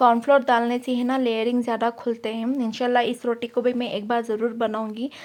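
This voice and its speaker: With hardly any pauses, a woman speaks at a high pitch and a moderate pace in a flat, monotone way. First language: Urdu (speaking Hindi). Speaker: mom vlogger. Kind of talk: vlog narration. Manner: casual, filler-heavy.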